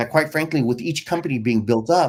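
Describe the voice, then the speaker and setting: Vocal fry marks a man's voice as his pitch swings very widely. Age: 50s. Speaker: company founder and CEO. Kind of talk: interview. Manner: halting, many fillers.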